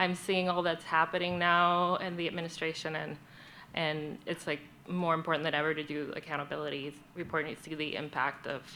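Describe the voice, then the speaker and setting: With a Spanish accent, a woman speaks in a fairly low, bright and sharp voice with monotone, flat intonation. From Puerto Rico. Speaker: journalist. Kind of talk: panel introduction at community forum.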